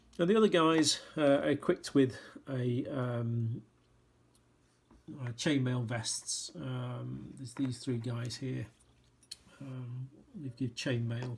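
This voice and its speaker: A somewhat breathy man at a very slow pace, with long, frequent pauses. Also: medium pitch for a man, ordinary pitch variation, big swings in loudness. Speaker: miniatures sculptor. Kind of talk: casual product walkthrough. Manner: hesitant, many fillers.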